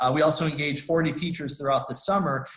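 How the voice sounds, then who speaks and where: This man has an American accent and a somewhat breathy voice. His pitch varies in an ordinary way. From US Midwest. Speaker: conservation nonprofit director. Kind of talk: presentation. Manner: fast; many fillers and restarts.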